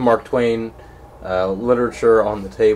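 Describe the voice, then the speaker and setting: A plain, everyday voice, a man with an American accent speaks fairly low in pitch at a moderate pace, his intonation fairly even over light background noise. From southern Pennsylvania. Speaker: newspaper interviewer. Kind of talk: interview. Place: home room. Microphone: camera far.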